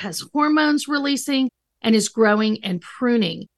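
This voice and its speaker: A woman with a high pitch and lively intonation speaks at a moderate pace against a quiet background. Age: 50s. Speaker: licensed counselor and author. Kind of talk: interview.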